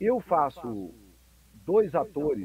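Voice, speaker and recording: Fairly high for a man, this voice has a dark, mellow tone and very wide pitch swings. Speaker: voice actor and dubbing director. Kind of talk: interview. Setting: video call.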